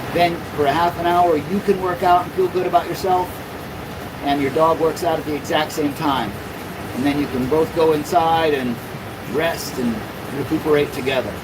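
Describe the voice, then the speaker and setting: With an American accent, a man speaks at a fairly high pitch and a moderate pace, leaving long, frequent pauses. Background noise is noticeable. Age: 50s. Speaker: mobile dog-exercise business owner, livestreamer. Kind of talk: livestream chat reading viewer comments. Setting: inside a climate-controlled van.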